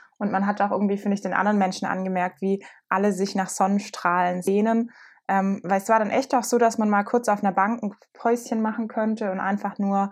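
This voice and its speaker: At a fairly quick pace, the words come in an unremarkable speaking voice whose intonation stays fairly even. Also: woman. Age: 20s. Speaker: podcast co-host. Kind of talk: casual chat.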